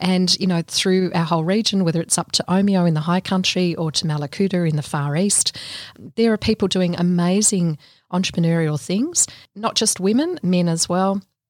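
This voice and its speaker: On a very clean recording with a silent background and a dry, close sound with no echo, a woman with an Australian accent and medium pitch speaks at a moderate pace with very even loudness and fairly even intonation. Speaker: small business consultant. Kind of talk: podcast interview. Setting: studio.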